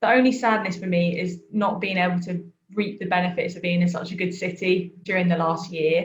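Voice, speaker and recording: Somewhat breathy, the speaker talks at a moderate pace with a southern English accent. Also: woman. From southern England, Worthing. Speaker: trainee vicar. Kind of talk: casual interview.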